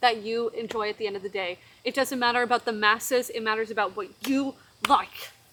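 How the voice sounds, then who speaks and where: Over noticeable background noise, a woman speaks fairly quickly in a fairly high pitch. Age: 20s. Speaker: actor. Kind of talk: casual chat. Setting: outdoors. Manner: animated. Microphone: poor podcast mics.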